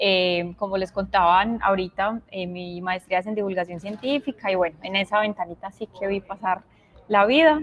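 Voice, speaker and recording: The speaker has a paisa accent and talks at a moderate pace. Pitch variation is ordinary. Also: woman, medium pitch for a woman. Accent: paisa (Antioquia). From Colombia, Medellín (Antioquia). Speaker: science communicator and illustrator, invited speaker. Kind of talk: virtual talk presentation. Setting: virtual event.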